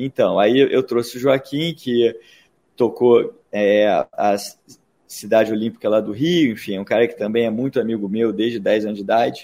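A man's dark, mellow tone sits at medium pitch with fairly even intonation. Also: moderate pace. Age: 40s. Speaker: entrepreneur. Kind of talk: interview. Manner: halting.

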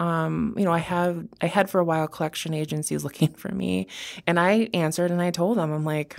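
With an American accent and a normal speaking voice, a woman speaks at a fairly low pitch with fairly even intonation in a very clean recording with a silent background. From Wisconsin. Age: 30s. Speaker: criminal defense attorney. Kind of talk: interview. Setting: studio.

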